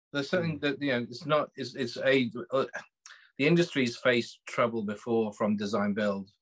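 A man with a British accent speaks at medium pitch and a moderate pace. His pitch variation is ordinary. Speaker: magazine co-founder and panelist. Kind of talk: panel discussion. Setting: remote connection, internet trouble.

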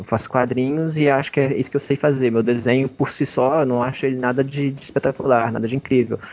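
At a fairly quick pace, a man talks in an unremarkable speaking voice at a medium pitch. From Brazil, Belo Horizonte. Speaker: comics artist. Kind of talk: interview. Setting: video call.

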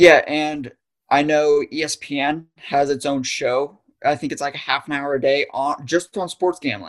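A fairly high-pitched man with an American accent, at a moderate pace, with fairly even intonation. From northeastern Pennsylvania, US. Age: 20s. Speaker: young adult podcast guest. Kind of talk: casual interview chat. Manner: halting, frequent restarts.

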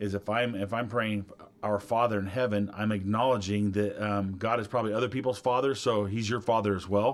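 A man talks at a moderate pace in an unremarkable speaking voice. His pitch is fairly low, with fairly even intonation. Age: 50s. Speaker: pastor. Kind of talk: casual chat.

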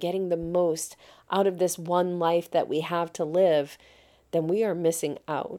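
This woman has a fairly low pitch and a dark, mellow tone. She talks at a fairly slow pace on a very clean recording with a silent background. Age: 50s. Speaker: podcast host and life coach. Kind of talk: solo podcast monologue. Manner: enthusiastic.

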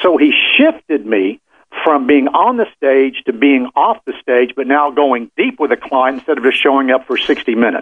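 Very wide pitch swings from a man. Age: 60s. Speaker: business consultant. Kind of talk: interview.

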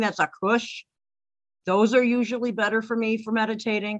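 A woman with a plain, everyday voice talks at a moderate pace and fairly high pitch. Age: 50s. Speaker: author and pagan high priestess. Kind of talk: casual interview chat. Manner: laughs often.

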